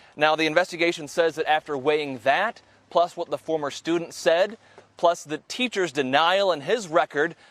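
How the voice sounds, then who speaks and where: A man's normal speaking voice at a fairly high pitch with ordinary pitch variation and a moderate pace, in a dry, close sound with no echo. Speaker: TV news anchor and reporter. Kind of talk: TV news reporter package voiceover.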